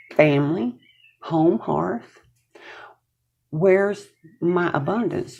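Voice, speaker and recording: Very deep and low for a woman, her voice carries a dark, mellow tone and vocal fry at a very slow pace. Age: 60s. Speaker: tarot reader. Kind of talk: tarot reading to camera. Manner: casual, conversational.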